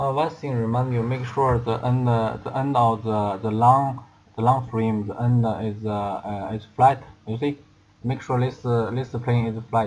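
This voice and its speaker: Somewhat breathy at medium pitch, a man speaks at a fairly slow pace with fairly even intonation. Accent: non-native. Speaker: product assembly demonstrator. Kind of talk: tutorial. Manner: halting, many fillers and repetitions.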